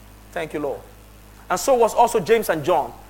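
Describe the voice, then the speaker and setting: Animated in tone, a man talks at a fairly quick pace with ordinary pitch variation. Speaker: pastor. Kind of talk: sermon. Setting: church with congregation. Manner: animated, exhorting; loud, rhetorical, direct address.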